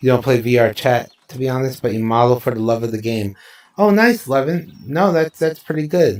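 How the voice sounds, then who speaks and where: A man's medium-pitched voice with lively intonation, at a moderate pace. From New Jersey, US. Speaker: streamer. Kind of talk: casual live stream chat. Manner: casual, some hesitations.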